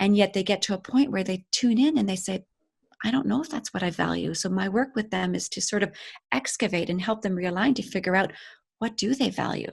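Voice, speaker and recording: A fairly quick pace with vocal fry and ordinary pitch variation on a very clean recording with a silent background. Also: woman, medium pitch for a woman. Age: 50s. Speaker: life coach. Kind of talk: casual chat. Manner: animated.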